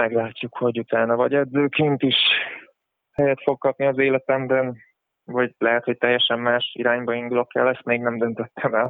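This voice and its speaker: A man speaks at a fairly quick clip. His intonation stays flat and monotone. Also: medium pitch for a man. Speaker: basketball player. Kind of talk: casual interview answering listener questions. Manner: halting, hesitant with fillers.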